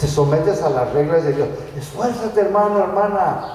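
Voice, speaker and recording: Audible room echo and noticeable background noise fill this recording. A man speaks at a fairly slow pace with lively intonation. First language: English (speaking Spanish). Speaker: guest preacher. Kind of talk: sermon. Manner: animated.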